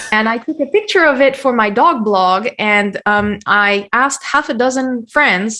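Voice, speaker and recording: A woman with a high pitch and a bright, sharp tone talks with hardly any pauses. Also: ordinary pitch variation, fairly slow pace. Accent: French. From France. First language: French. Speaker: SEO consultant. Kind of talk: podcast interview.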